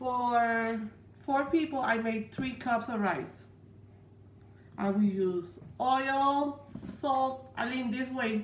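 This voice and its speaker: The speech moves at a very slow pace with long, frequent pauses. Audible room echo fills the recording. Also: woman, high pitch for a woman, ordinary pitch variation. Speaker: home cook. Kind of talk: cooking tutorial. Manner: halting.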